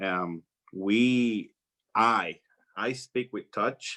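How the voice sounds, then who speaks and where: Bright and sharp in tone, a man with a Spanish accent speaks at a fairly low pitch. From Puerto Rico. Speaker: flight attendant. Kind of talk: talk to students. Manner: halting.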